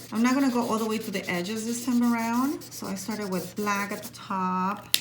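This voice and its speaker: Audible room echo follows a woman's voice. There is noticeable noise in the background as well. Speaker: art teacher. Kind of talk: tutorial.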